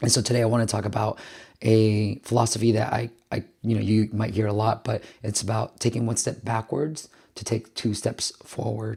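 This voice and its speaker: A man speaks at a fairly quick pace and medium pitch with fairly even intonation. His tone is dark and mellow, and somewhat breathy. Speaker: business founder and video host. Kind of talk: vlog talk to camera. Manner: casual, conversational.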